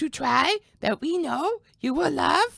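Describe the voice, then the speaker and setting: A put-on character voice carries the words at a high pitch. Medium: audio drama. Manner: flat, scripted.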